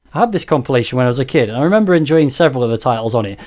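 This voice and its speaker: Speaking at a very fast pace, a man with a Stoke accent has a medium pitch and a dark, mellow tone. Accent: Stoke (Potteries). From Stoke-on-Trent, England. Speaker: retro game YouTuber. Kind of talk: Q&A video monologue.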